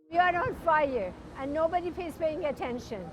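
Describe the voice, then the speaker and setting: Her intonation is lively as the woman speaks. Noticeable background noise is present. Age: 70s. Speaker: climate protester. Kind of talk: street interview.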